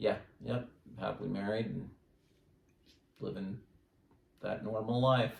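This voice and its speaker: At a fairly slow pace, a man with a fairly low voice and vocal fry speaks in fairly even intonation, with long, frequent pauses. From US Southwest (New Mexico, then West Valley). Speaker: standardized patient in nursing health history practice. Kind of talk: mock patient interview. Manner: halting.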